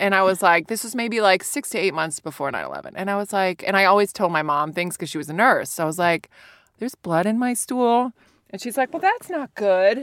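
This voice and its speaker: With an American accent and an ordinary speaking voice, a woman at medium pitch talks at a fairly quick pace with lively intonation. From US, Virginia. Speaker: stand-up comedian. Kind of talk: casual chat.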